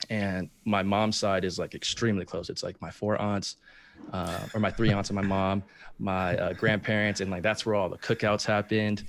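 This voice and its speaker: The man's pitch is fairly low and his intonation monotone and flat. He keeps a moderate pace. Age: 20s. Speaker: reality TV contestant. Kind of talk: interview. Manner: hesitant with many fillers.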